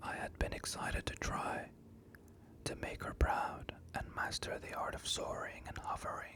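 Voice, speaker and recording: Whispering at a fairly slow pace, a man is heard against noticeable background noise. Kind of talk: ASMR bedtime story reading. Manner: whispered.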